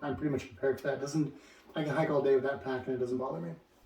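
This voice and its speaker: A man talks at a medium pitch while background noise is clearly noticeable. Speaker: hiker vlogger. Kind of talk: casual talk to camera. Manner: halting, many fillers and repeats.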